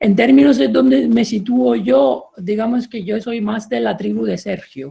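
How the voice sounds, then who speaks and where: A man talks with an Italian accent. His intonation is lively. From Italy. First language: Italian (speaking Spanish). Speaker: professor. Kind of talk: panel discussion. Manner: halting.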